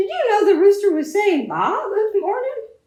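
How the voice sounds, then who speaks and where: A squeaky, put-on character voice sits at an extremely high pitch. The pace is moderate. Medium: read story. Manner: bewildered.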